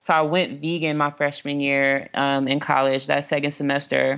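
A woman speaks in a very deep, low voice with a flat, monotone delivery. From South Central Los Angeles. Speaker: food justice entrepreneur. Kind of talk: interview.

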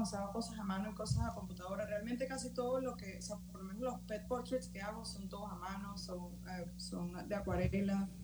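Audible room echo and noticeable background noise accompany speech delivered at a fairly quick pace. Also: woman. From Valencia, Venezuela. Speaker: illustrator. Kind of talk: casual interview.

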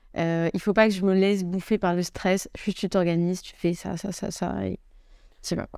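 A woman speaks at a moderate pace and medium pitch, her intonation flat and monotone while her loudness swings widely, on a very clean recording with a silent background. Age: 20s. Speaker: startup co-founder. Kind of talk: casual chat. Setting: office.

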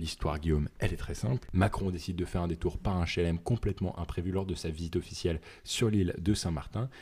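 On a very clean recording with a silent background, a man talks very fast in a very deep, low pitch, his dark, mellow tone somewhat breathy and his pitch variation ordinary. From northern France. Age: 20s. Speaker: podcast co-host. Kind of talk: casual chat.

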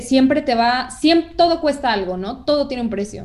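A woman speaks with lively intonation. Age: 20s. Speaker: communication and audiovisual arts student. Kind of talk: casual interview conversation.

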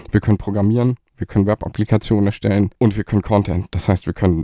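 The tone is dark and mellow, with a dry, close sound and no echo. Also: man. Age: 40s. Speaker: agency managing director. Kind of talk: interview.

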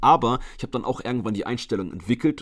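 A man is speaking. His pace is very fast. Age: 20s. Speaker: fitness coach and podcaster. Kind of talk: solo podcast monologue. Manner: casual, chatty.

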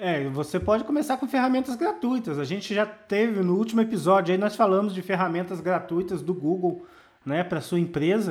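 The man's voice sits high in pitch, with ordinary variation. He speaks at a fairly quick pace. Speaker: marketing consultant, podcast co-host. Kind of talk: casual chat.

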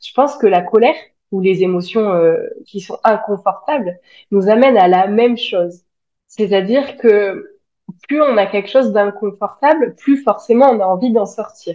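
Delivery is fairly slow, with ordinary pitch variation. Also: woman, fairly high pitch for a woman. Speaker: spiritual coach and social media creator. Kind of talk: casual interview. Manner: outspoken.

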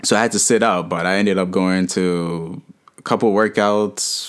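A man's very deep, low-pitched voice. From Harlem, New York City (born in Haiti, moved at five). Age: 20s. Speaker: podcast guest, business graduate. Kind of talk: casual chat.

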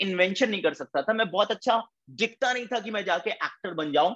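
Over music in the background, a man with a high pitch talks at a moderate pace in an animated tone with lively intonation, the sound dry and close with no echo. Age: 20s. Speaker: network marketing leader. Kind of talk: motivational talk.

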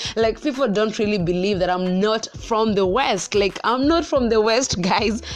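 With hardly any pauses, a woman speaks at a moderate pace in very even loudness and ordinary pitch variation over noticeable background noise. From central Kenya. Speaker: podcast host. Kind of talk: personal monologue. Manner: casual, filler-heavy; high energy.

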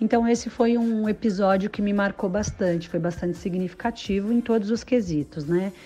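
At a moderate pace and medium pitch, a woman speaks with ordinary pitch variation. Her voice is somewhat breathy, with a dark, mellow tone. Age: 30s. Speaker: former ride-hailing driver and psychology student. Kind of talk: interview.

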